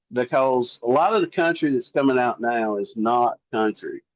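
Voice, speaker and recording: A man with a Southern US accent speaks at a fairly slow pace. The sound is dry and close, with no echo. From US South. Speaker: singer-songwriter. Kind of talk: interview. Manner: casual, conversational.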